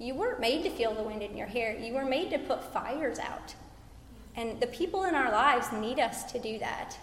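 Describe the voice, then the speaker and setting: The intonation is lively and the pace moderate. There is noticeable background noise. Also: woman, high pitch for a woman. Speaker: conference speaker, military wife and mother. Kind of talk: church panel discussion. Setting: church stage with audience.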